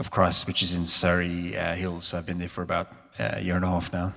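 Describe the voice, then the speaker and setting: This man's pitch is very deep and low. He speaks with a South African accent. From South Africa, Cape Town. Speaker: theologian and minister. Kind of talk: live public conversation. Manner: hesitant, many fillers.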